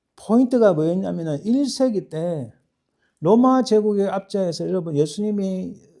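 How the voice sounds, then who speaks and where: In a strong Gyeongsang accent, the speaker talks at a moderate pace with lively intonation and a dark, mellow tone. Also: man. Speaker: pastor. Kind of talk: sermon. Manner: halting, many self-corrections.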